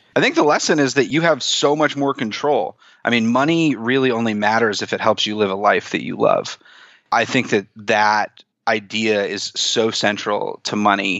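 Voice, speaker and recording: This is a man with a plain, everyday voice at a medium pitch. He speaks at a moderate pace with ordinary pitch variation. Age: 30s. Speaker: personal finance author and blogger. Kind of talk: interview.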